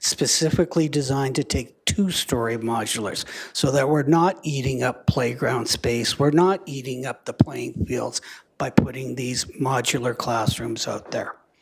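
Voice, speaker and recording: Speaking with a Canadian accent, a man has a medium pitch and ordinary pitch variation. His voice is somewhat breathy. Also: moderate pace. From Canada, Lethbridge, Alberta. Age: 60s. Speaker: school division official. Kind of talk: council meeting presentation.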